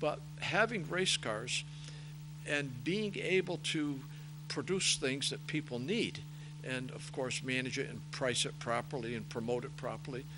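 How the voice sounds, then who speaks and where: Speaking fairly slowly, a man uses ordinary pitch variation. Audible room echo surrounds his voice. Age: 70s. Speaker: racing parts business owner and race director. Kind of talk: interview.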